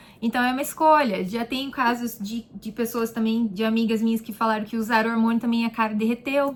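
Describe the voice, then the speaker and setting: A plain, everyday voice at a fairly quick pace, with fairly even intonation and hardly any pauses. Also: woman, fairly high pitch for a woman. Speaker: beauty therapist and vlogger. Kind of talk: casual vlog answering viewer questions. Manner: chatty, informal.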